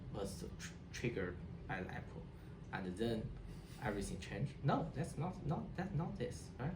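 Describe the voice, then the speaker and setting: A man with a Chinese accent speaks at a moderate pace with vocal fry and very wide pitch swings, amid audible room echo. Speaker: HCI researcher. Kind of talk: interview. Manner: halting, many repetitions and restarts.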